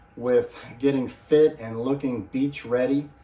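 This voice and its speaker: Against noticeable background noise, a man at a medium pitch speaks very slowly in a monotone, flat intonation. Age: 50s. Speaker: fitness vlogger. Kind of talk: casual video vlog. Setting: home gym in spare bedroom. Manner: casual, with filler words.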